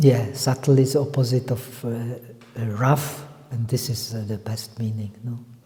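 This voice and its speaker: A man speaks in a monotone, flat intonation. There is noticeable background noise and audible room echo. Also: medium pitch for a man, fairly slow pace. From Czech Republic. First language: not English. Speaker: meditation teacher. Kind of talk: lecture. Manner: halting.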